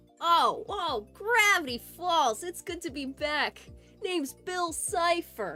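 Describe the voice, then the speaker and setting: A woman's nasal, put-on character voice at an extremely high pitch and fairly slow pace, with faint music in the background. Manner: drawn-out vowels.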